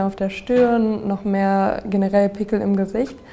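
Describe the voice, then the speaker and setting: Using fairly even intonation, a woman of medium pitch speaks in a plain, everyday voice. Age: 20s. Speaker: social media influencer on acne. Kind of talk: interview, personal testimony.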